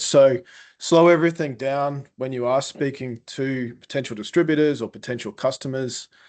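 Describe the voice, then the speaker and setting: A man speaks at a medium pitch with a strong Queensland accent and ordinary pitch variation. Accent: thick Australian Queensland. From Queensland, Australia. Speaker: food exporter and brand founder. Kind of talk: webinar panel discussion.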